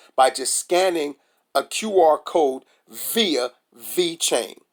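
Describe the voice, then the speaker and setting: In a very clean recording with a silent background, a man with a high pitch speaks in an animated tone. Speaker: crypto YouTuber. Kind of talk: casual vlog commentary.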